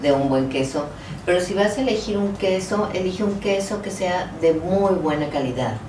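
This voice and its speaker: A woman's lively intonation at a moderate pace, with audible room echo and noticeable background noise. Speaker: fitness instructor. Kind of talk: casual chat.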